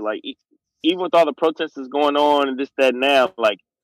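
A man's fairly high voice, an ordinary speaking voice, at a fairly quick pace with ordinary pitch variation, dry and close with no echo, on a very clean recording with a silent background. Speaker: guest. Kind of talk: casual chat.

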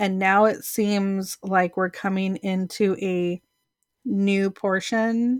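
A woman with an American accent speaks at a medium pitch in a monotone, flat intonation. The sound is dry and close with no echo, on a very clean recording with a silent background. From California. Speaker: spiritual podcast co-host. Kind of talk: casual chat.

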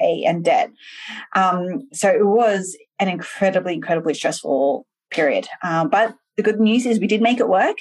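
A woman's medium-pitched voice in an Australian accent at a moderate pace. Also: lively intonation. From Australia (Sydney), Malaysian parents. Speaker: entrepreneur, software founder. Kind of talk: interview conversation. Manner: animated.

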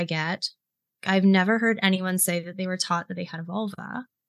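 A woman's ordinary speaking voice in an American accent, medium in pitch with ordinary pitch variation, at a fairly quick pace. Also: big swings in loudness. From US South, South Carolina (Greenville). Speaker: intimacy and pleasure coach. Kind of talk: podcast interview.

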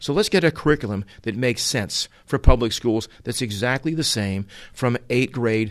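A man with an American accent has an ordinary speaking voice at a medium pitch, talking at a moderate pace with lively intonation. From Utah and Massachusetts, US. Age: 60s. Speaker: automotive trainer. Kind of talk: opinion monologue. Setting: away from home.

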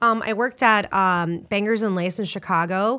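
In a very clean recording with a silent background, a woman with an American accent uses a normal speaking voice, talking at a moderate pace with fairly even intonation. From Florida, US. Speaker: restaurant owner and bartender. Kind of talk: casual chat.

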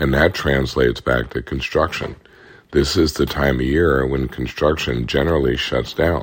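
With vocal fry in his very deep, low voice, a man speaks at a moderate pace. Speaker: economist podcast host. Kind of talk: solo explainer podcast. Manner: conversational.

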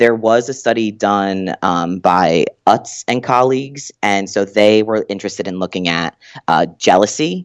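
A man with a normal speaking voice talks at a fairly low pitch and fairly slow pace, with ordinary pitch variation, a quiet background and a dry, close sound with no echo. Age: 20s. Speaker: doctoral student in psychology. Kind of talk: casual interview.

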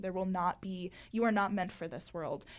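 A woman with an American accent talks at a fairly quick pace in a medium pitch with ordinary pitch variation, on a very clean recording with a silent background. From Florida. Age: 20s. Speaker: university student and poet. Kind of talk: casual interview. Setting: studio.

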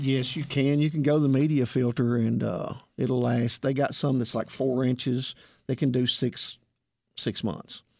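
The speech moves at a fairly slow pace with a Southern US accent. Its intonation stays fairly even. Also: man, medium pitch for a man. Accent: country Southern US. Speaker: heating and air technician. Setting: radio studio. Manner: sleepy, quiet.

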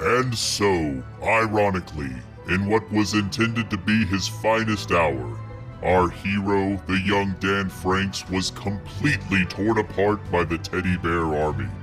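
Over clear background music, a man puts on a character voice, fairly low in pitch, at a fairly slow pace. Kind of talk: storybook narration. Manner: solemn, deadpan.

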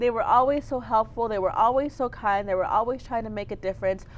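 In an American accent, a woman uses an ordinary speaking voice with fairly high pitch and ordinary pitch variation. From Texas (Clint, El Paso County). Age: 20s. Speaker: political candidate. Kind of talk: interview.

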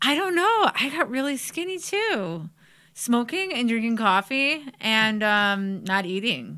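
A woman with a Cleveland accent, very wide pitch swings, and a fairly slow pace. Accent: Midwestern American (Cleveland). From Parma, Ohio (Cleveland area). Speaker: psychic medium and former coworker. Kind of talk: casual chat.

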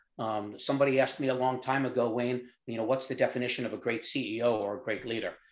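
A man with a New York accent at medium pitch, very fast and with hardly any pauses, in a monotone, flat intonation. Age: 70s. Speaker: company founder. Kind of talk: interview.

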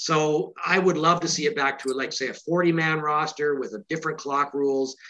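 With a Canadian accent, a man speaks in an unremarkable speaking voice at a fairly high pitch. His pace is moderate and his intonation fairly even. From Canada. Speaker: author of a football book. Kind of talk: interview.

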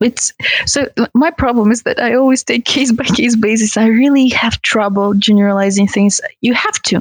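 Sounding dry and close with no echo, a woman speaks at a moderate pace with a fairly high pitch, fairly even intonation and very even loudness. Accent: Russian. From Russia, Tatarstan. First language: Russian. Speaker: kizomba dancer. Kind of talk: casual chat.

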